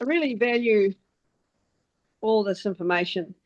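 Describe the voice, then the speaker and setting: A woman with a New Zealand accent, fairly slow in pace. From New Zealand, Wellington. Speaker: meetup participant. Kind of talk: group video call discussion. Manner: halting.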